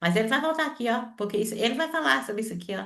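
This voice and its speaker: A woman speaks at a fairly high pitch with very wide swings in her pitch. Her tone is bright and sharp. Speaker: seminary teacher. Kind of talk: online lecture. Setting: video call. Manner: fast.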